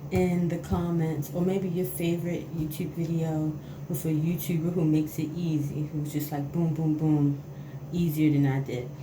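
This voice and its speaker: With noticeable background noise and audible room echo, a woman talks at a very deep, low pitch. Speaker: beauty vlogger. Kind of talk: tutorial. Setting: bathroom at home. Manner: casual, hesitant.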